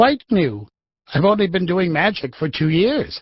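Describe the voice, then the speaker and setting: A man puts on a character voice. His pitch is high and swings very widely. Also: moderate pace. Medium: audio drama. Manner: genial, a little flustered.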